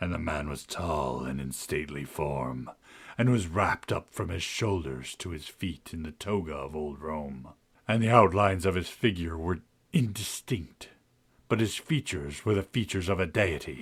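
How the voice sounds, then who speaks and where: A man adopts a put-on character voice, pitched very deep and low, and talks at a moderate pace. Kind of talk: gothic horror narration. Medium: read story. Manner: solemn, incantatory, repetitive.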